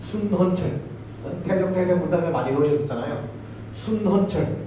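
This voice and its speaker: A high-pitched man at a fairly slow pace, lively intonation, audible room echo and noticeable background noise. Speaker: university professor giving a lecture. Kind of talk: public lecture. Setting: lecture hall with audience.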